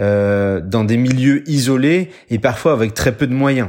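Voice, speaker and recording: This very clean recording has a silent background. A man talks in a plain, everyday voice at medium pitch with ordinary pitch variation. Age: 30s. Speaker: military doctor. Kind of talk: scripted narration.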